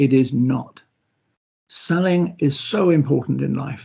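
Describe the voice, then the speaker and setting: A man with a British accent has a fairly high pitch and a somewhat breathy voice. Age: 70s. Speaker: former racing driver and motorsport sponsorship executive. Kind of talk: online presentation. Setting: online video presentation.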